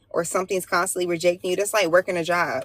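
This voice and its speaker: Over noticeable background noise, a woman speaks very fast at a medium pitch with monotone, flat intonation. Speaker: tarot reader and spiritual livestreamer. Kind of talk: casual livestream tarot reading. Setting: livestream.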